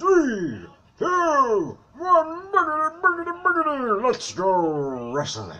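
Here is a put-on character voice at a fairly high pitch. It moves at a very slow pace. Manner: hyped, over-the-top.

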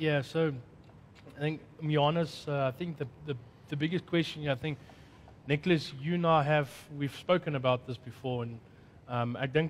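Somewhat breathy, a man speaks at a moderate pace with fairly even intonation. Light background noise can be heard. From South Africa. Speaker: conference host. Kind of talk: panel discussion moderation. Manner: halting. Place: studio.

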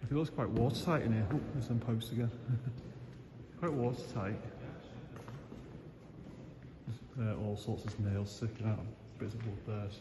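A man speaks with long pauses that come often. There is noticeable noise in the background. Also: ordinary pitch variation, moderate pace. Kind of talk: casual vlog commentary. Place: factory. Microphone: phone near.

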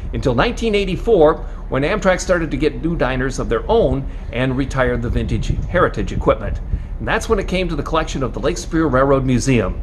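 Words rush out at a very fast pace over light background noise. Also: man. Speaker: railway museum guide. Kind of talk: guided tour commentary. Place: workshop. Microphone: phone near.

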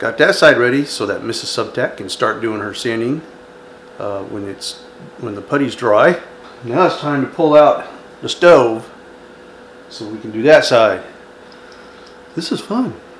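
A man's fairly slow speech with long, frequent pauses and big swings in loudness, over light background noise. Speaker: home renovation vlogger. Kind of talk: casual vlog chat. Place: kitchen. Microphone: phone near.

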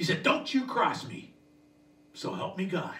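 Lively intonation marks this man's high-pitched voice. Room echo is audible. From Canada. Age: 60s. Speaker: stand-up comedian. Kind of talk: stand-up comedy set. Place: home room.

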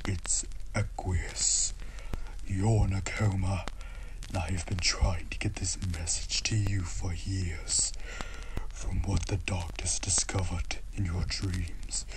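A put-on character voice at a fairly slow pace amid loud background noise. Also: man. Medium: dub.

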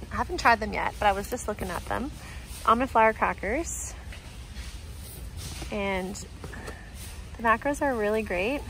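At a moderate pace, the voice comes through dry with no echo over light background noise. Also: woman. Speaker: nutrition vlogger. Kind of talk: casual vlog chat. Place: shop. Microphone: phone near.

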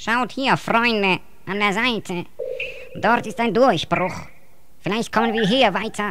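A female-sounding, put-on character voice, fairly high in pitch, at a fairly slow pace with long, frequent pauses and noticeable background noise. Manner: warm, calls others friends.

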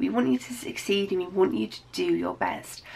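The pace is moderate as this woman speaks. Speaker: teacher giving study advice. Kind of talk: educational vlog talk to students. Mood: warm, reassuring. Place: home room.

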